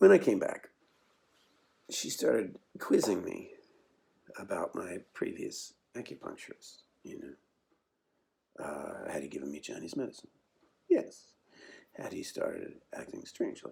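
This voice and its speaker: A man keeps a moderate pace but pauses often and at length. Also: big swings in loudness. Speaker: actor. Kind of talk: dramatic monologue performance. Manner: casual, halting storytelling.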